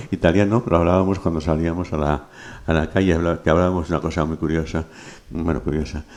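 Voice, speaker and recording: Talking at a very fast pace, a man keeps a very deep, low pitch and fairly even intonation. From Madrid area, Spain (born Toledo, raised Alcobendas). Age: old. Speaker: philologist, professor and poet. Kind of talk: conversational interview. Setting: bookstore event with audience. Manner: halting, many repetitions and fillers.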